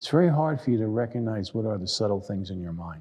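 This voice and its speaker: With a New York accent, a man speaks in a dark, mellow, somewhat breathy tone that moves through very wide pitch swings. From New York City. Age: 70s. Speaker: meditation and tai chi teacher. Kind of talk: lecture. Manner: halting.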